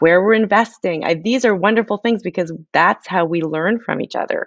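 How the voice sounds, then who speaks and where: A woman talks at a moderate pace with ordinary pitch variation. She has a plain, everyday voice. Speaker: author. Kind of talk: interview. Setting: remote from home.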